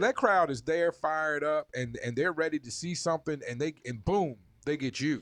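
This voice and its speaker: A man with a plain, everyday voice speaks at a moderate pace, fairly high in pitch with ordinary pitch variation. The background is quiet and the sound is dry and close with no echo. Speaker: podcast host interviewing guests. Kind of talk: podcast interviewer.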